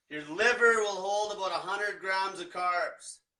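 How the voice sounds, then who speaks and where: A man with a high pitch speaks in a raised, projected voice. His intonation stays fairly even. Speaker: diet coach. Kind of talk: livestream explainer. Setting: livestream. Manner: casual, profane.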